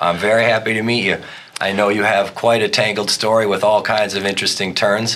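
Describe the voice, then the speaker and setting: Over noticeable background noise, a man talks at a fairly quick pace in a fairly low pitch, with very even loudness and a monotone, flat intonation. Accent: American. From US small town. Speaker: podcast host. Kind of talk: casual chat; scripted intro. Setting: studio.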